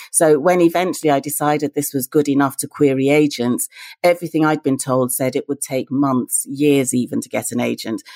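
A woman with a British accent, very deep and low in pitch, dark and mellow in tone, at a fairly quick pace with fairly even intonation, in a very clean recording with a silent background and a dry, close sound with no echo. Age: 50s. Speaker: novelist. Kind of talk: interview.

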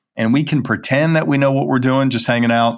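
The voice rises and falls in an ordinary way, with an American accent. The background is silent and the recording very clean. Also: man. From US South, Birmingham, Alabama. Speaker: company chief executive. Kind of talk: interview.

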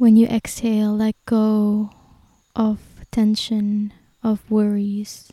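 Her voice fairly high, somewhat breathy and dark and mellow in tone, a woman speaks in a soothing, gentle tone at a very slow pace with long, frequent pauses and monotone, flat intonation. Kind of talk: guided meditation. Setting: recorded outdoors in nature. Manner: slow, soothing and gentle, with long pauses; calm, reassuring, soft-spoken.

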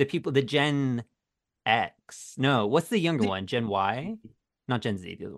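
Against a quiet background, a man with an American accent talks at a moderate pace and medium pitch. His intonation is lively, and his loudness swings widely. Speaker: drag YouTuber guest. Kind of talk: casual comedic chat.

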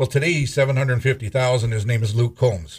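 A man speaks at a medium pitch and a moderate pace, somewhat breathy, with fairly even intonation. The recording is very clean, with a silent background. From North Dakota (Scranton, southwest). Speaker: auctioneer and radio show co-host. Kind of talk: casual radio chat.

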